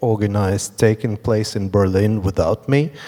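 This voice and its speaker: Speaking at a moderate pace over noticeable background noise, a man uses a fairly low pitch and monotone, flat intonation. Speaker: artist and organizer. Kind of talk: panel discussion. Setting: stage with audience.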